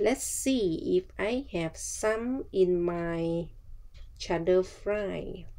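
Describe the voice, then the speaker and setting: A woman speaks at a very slow pace with a Thai accent. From Thailand. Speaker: travel vlogger. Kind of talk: casual vlog narration.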